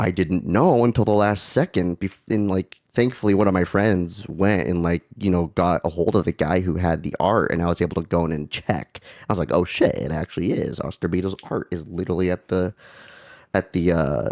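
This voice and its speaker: The man's voice is very deep and low, with ordinary pitch variation and a fairly quick pace. The sound is dry and close, with no echo. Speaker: livestream host. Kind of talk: casual chat. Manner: animated.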